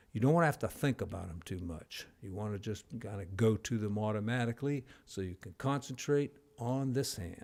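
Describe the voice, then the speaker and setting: Speaking at a fairly quick pace, a man with an unremarkable speaking voice and medium pitch uses lively intonation and big swings in loudness. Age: 60s. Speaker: jazz piano teacher. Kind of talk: tutorial. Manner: casual, conversational.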